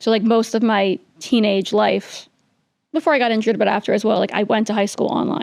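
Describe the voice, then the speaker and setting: Speaking in a New York accent, a woman keeps a fairly quick pace and ordinary pitch variation. Her loudness stays very even. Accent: New York American. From New York City. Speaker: political spokesperson. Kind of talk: interview.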